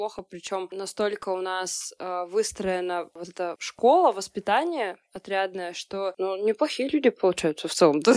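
Here is a woman with a normal speaking voice, medium in pitch with ordinary pitch variation. The recording is very clean, with a silent background and a dry, close sound with no echo. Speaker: journalist and SMM specialist. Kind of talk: casual chat.

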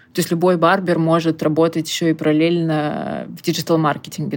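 A woman speaks at a moderate pace in a fairly low pitch. It is a plain, everyday voice. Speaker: recruitment agency founder. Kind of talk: interview.

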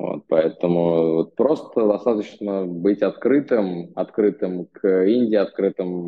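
This man talks at a very slow pace in a very deep, low voice with ordinary pitch variation. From Russia. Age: 20s. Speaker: expat in India. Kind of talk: interview. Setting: remote call.

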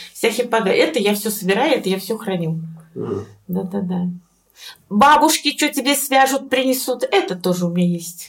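A woman with a fairly high pitch and lively intonation speaks at a moderate pace in a somewhat breathy voice. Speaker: dental surgeon. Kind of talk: interview.

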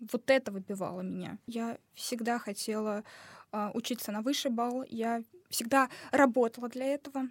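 A woman's fairly high voice at a moderate pace, broken by long, frequent pauses, in a dry, close sound with no echo. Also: fairly even intonation. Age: young. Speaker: former medical student. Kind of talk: casual chat. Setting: studio.

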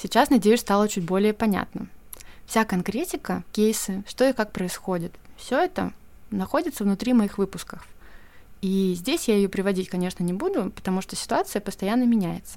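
A woman with an unremarkable speaking voice talks at a medium pitch and moderate pace with ordinary pitch variation, in a very clean recording with a silent background. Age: 30s. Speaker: podcast host, editor and brand communications specialist. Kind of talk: solo podcast monologue.

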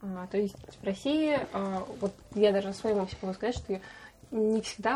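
A woman's moderately paced, somewhat breathy voice with ordinary pitch variation. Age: 20s. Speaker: podcast host. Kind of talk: casual chat.

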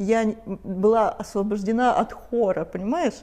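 This woman's voice sits at a medium pitch with a dark, mellow tone. Her pitch varies in an ordinary way. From Russia, Kislovodsk (North Caucasus). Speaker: sports doctor. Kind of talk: casual chat.

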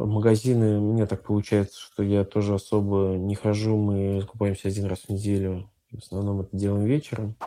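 The voice has a dark, mellow tone and moves at a fairly quick pace. Its intonation is monotone and flat. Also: man, fairly low pitch for a man. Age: 30s. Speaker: IT entrepreneur. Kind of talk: interview testimony.

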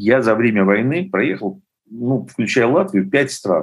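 A man's medium-pitched voice at a very slow pace. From Ukraine, Lviv. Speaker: documentary filmmaker. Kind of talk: interview.

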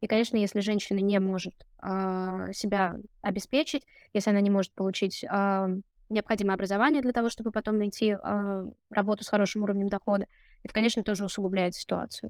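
Talking at a very fast pace, a woman keeps her intonation fairly even while her loudness swings widely. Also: medium pitch for a woman, dry, close sound with no echo, very clean recording, silent background. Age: 30s. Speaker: case manager at a domestic violence charity. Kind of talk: interview.

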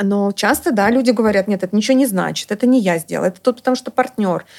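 A very fast pace and a fairly high pitch from a woman. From Estonia. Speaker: psychologist. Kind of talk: casual chat.

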